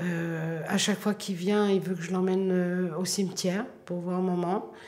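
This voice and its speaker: In a Parisian accent, a woman speaks at a medium pitch and a very slow pace with monotone, flat intonation, amid noticeable background noise and audible room echo. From France, Paris. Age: 60s. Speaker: bookseller. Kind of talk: documentary interview. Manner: hesitant, many fillers.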